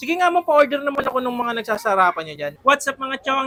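A man speaks in a raised, projected voice with an animated tone. His tone is also bright and sharp. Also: dry, close sound with no echo. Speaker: food vlogger. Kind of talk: casual food review vlog. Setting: on location at a food stall.

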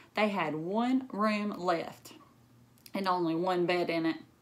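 Speaking at a slow pace, a woman has a fairly low pitch, a fairly bright tone and ordinary pitch variation.

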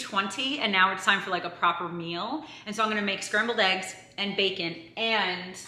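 Audible room echo surrounds the voice. A woman speaks at a moderate pace. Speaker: vlogger. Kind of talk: casual vlog chat. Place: kitchen. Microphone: camera far.

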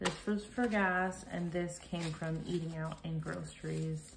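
Over light background noise, a woman speaks at a fairly slow pace in a fairly low pitch with fairly even intonation. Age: 30s. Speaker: cash budgeter. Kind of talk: casual talk to camera. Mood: calm, friendly.

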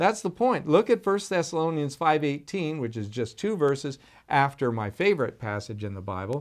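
A man speaks at a moderate pace in a fairly high voice, his pitch swinging very widely and his loudness rising and falling sharply over a quiet background. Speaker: pastor. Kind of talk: sermon. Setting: recorded video for online viewers. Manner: animated. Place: office.

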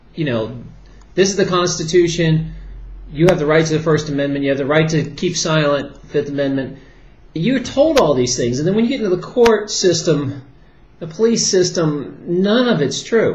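Light background noise and audible room echo fill the recording. A man speaks at a moderate pace. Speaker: commentator, former chiropractor. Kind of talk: casual vlog commentary. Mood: worried, earnest. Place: home room. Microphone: webcam.

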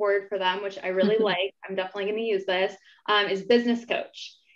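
With a quiet background, a woman speaks in fairly even intonation. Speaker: company vice president, panel moderator. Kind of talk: moderated panel discussion. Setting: video call live stream. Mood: warm, upbeat. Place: home room. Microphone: video call.

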